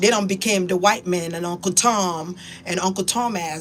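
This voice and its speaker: Against noticeable background noise, a woman speaks in an animated tone. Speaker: spiritual YouTuber. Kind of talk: casual monologue.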